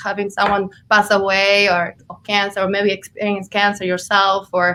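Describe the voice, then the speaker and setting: Speaking at a fairly slow pace, a woman has a bright, sharp tone, a medium pitch, and a slight Argentine accent. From Argentina. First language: Spanish. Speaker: health coach and energy healer. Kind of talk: interview. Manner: hesitant, many fillers.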